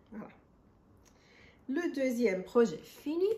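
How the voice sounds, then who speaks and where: A woman speaks very slowly with a non-native accent. Her intonation is lively. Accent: foreign accent in French. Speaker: crochet and knitting podcaster. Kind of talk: casual crafting podcast monologue. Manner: hesitant, many fillers.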